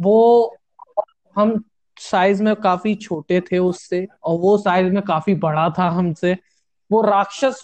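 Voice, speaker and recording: A man's high voice with fairly even intonation, very even loudness, and long, frequent pauses. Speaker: student podcast host. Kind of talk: casual chat.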